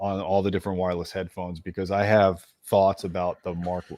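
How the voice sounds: A man with a dark, mellow tone speaks low for a man at a fairly quick pace, with little pitch movement.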